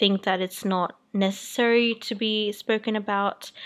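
On a very clean recording with a silent background, a woman with an Australian accent speaks at medium pitch and a moderate pace with fairly even intonation. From New Zealand. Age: 20s. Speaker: lifestyle podcaster. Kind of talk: solo monologue podcast. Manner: hesitant with many fillers.

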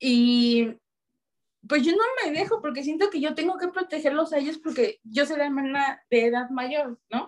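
A woman's high-pitched voice rises and falls with lively intonation as she talks at a moderate pace. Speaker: lawyer and amateur American football player. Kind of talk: casual chat. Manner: loud.

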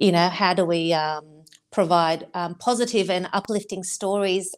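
Spoken at a moderate pace with an Australian accent, the voice keeps a fairly even intonation on a very clean recording with a silent background. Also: woman. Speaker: marathon runner and foundation board member. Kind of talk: interview.

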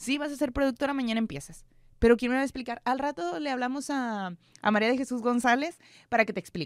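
A woman's high-pitched voice at a very fast pace, with a dry, close sound and no echo. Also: ordinary pitch variation. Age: 20s. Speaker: news producer and presenter. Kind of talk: casual interview. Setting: studio.

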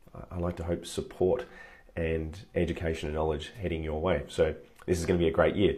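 With an Australian accent, a man speaks at a fairly quick pace in a very deep, low voice that is dark, mellow and somewhat breathy. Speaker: online coach / livestream host. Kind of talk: live stream talk to viewers. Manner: energetic, upbeat.

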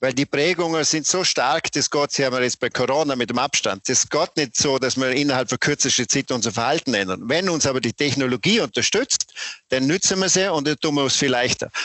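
A man talks at a fairly quick pace with hardly any pauses. His loudness stays very even and his pitch varies in an ordinary way. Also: fairly high pitch for a man. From Austria, Vorarlberg (Bregenzerwald). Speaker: company founder and managing director. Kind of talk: interview. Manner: animated.

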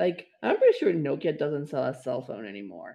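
A man with a Spanish accent. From Mexico. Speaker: podcast co-host. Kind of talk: casual chat.

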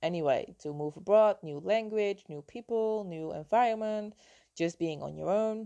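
A woman speaks with a Dutch accent in a quiet background. Her loudness swings widely. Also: medium pitch for a woman, ordinary pitch variation, moderate pace. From Netherlands. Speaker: health and mindset coach. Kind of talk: personal storytelling monologue.

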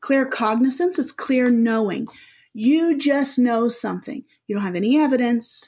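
A somewhat breathy woman at a moderate pace, lively in intonation, on a very clean recording with a silent background. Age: 40s. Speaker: spiritual healer and hypnotherapist. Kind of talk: casual interview.

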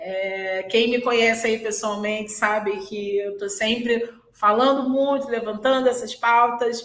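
At a fairly slow pace and with hardly any pauses, a woman talks amid audible room echo and noticeable background noise. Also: fairly high pitch for a woman. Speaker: hotel general manager. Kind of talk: interview on live-stream. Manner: animated.

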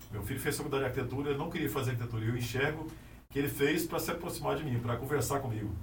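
A very fast man's voice of medium pitch and ordinary pitch variation, with audible room echo and noticeable background noise. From Anápolis, Goiás, Brazil. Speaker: architect. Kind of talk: casual interview. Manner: halting, many repetitions.

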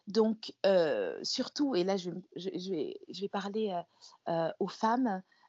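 A woman with medium pitch speaks at a very slow pace. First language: another mother tongue, not French (speaking French). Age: 40s. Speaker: image coach. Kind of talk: interview. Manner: halting, many hesitations and repeated words.

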